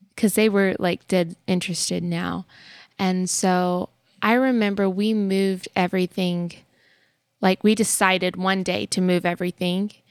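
The sound is dry and close with no echo, on a very clean recording with a silent background. The intonation stays monotone and flat. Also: woman, medium pitch for a woman, moderate pace. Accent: American. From Texas. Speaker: family podcast co-host. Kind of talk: casual chat.

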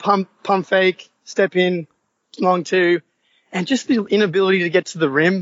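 In an Australian accent, a man with a high pitch talks at a moderate pace with fairly even intonation. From Australia, Sydney. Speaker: caller, sports fan. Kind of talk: casual chat. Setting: video call.

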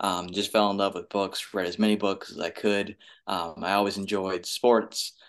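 In an American accent, a man talks at a moderate pace with a fairly low pitch. His intonation stays monotone and flat. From US West Coast, San Francisco Bay Area. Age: 30s. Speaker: librarian. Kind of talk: casual interview. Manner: hesitant, frequent ums and repetitions.

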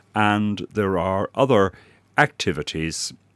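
A man with an Irish accent is heard in a very clean recording with a silent background and a dry, close sound without echo. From Ireland. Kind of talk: radio interview. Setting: radio studio. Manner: formal, articulate.

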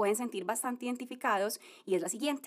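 A woman with a high pitch and warm tone talks at a fairly quick pace with lively intonation, on a very clean recording with a silent background. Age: 30s. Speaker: podcast host, former lawyer. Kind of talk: motivational monologue. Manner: warm, conversational.

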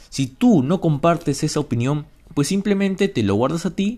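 With the background silent, this man comes through on a very clean recording. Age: 20s. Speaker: podcast host and university student. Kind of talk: casual solo podcast monologue. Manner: halting, with repeated words.

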